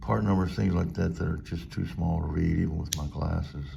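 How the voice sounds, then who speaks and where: A man talks in a very deep, low voice, with audible echo in the room. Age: 60s. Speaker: knife reviewer YouTuber. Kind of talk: product review. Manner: casual with frequent fillers.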